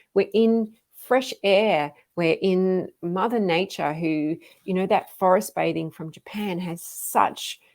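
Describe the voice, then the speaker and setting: A woman with an Australian accent at a very slow pace, with lively intonation. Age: 50s. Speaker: fitness coach. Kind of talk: live stream talk. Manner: casual, with frequent fillers.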